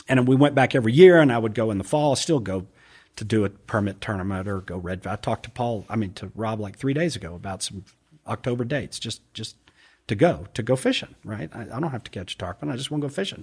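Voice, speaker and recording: At a very fast pace, a man with an American accent talks with lively intonation and big swings in loudness, somewhat breathy, on a very clean recording with a silent background. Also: medium pitch for a man. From US, raised partly in London and Atlanta. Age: 60s. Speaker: angler and triathlete. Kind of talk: casual chat.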